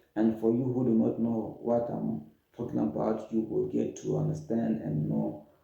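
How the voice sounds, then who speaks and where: A man talks fairly slowly while the room's echo can be heard around his voice. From Democratic Republic of the Congo. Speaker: refugee storyteller. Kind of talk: personal testimony. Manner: halting, repeats words.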